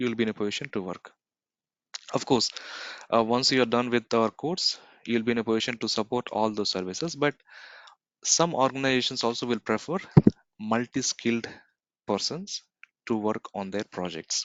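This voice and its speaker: Speaking at a fairly quick pace with long, frequent pauses, a man keeps a medium pitch with ordinary pitch variation. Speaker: cloud computing trainer. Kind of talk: live online class lecture. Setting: recorded video conference.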